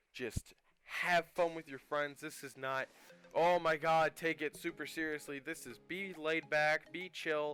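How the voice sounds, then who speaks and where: At a fairly slow pace, a man talks in a bright, sharp tone at a fairly high pitch, the sound dry and close with no echo. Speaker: gaming YouTuber. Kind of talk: game review commentary. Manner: halting, many fillers and pauses; casual, laid-back.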